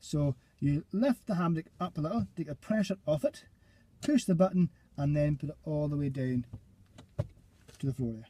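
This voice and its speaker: A man with a Scottish accent talks fairly quickly in a fairly high, dark, mellow voice that is somewhat breathy. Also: dry, close sound with no echo. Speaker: driving instructor trainer. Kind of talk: tutorial. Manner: fast.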